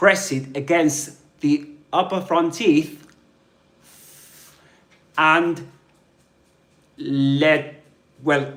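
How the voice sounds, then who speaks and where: In a Southern British accent, a man speaks at a very slow pace with long, frequent pauses. His intonation stays fairly even. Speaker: English pronunciation teacher. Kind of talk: live online language lesson. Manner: slow, clear.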